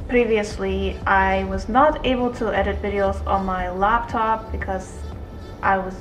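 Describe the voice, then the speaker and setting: As faint music plays behind her, a woman talks. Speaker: vlogger. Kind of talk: casual vlog chat. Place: home room. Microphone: phone near.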